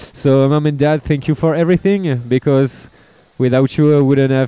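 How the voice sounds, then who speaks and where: A man's medium-pitched voice in a French accent, fairly even intonation, dry and close with no echo. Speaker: punk band drummer. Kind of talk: casual interview. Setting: music festival.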